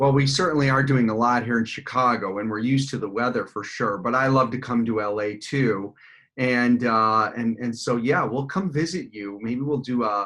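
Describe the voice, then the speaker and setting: In a plain, everyday voice, a man speaks at medium pitch and a moderate pace with ordinary pitch variation against a quiet background. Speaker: salon owner and business coach. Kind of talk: podcast interview host.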